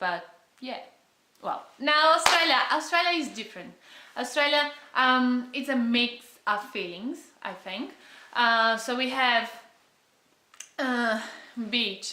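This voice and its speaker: A woman with a high pitch speaks at a very slow pace, leaving long, frequent pauses. Her intonation is lively, and the room echo is audible. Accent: Brazilian Portuguese. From Brazil. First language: Portuguese. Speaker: travel vlogger. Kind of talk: casual vlog talk. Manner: halting.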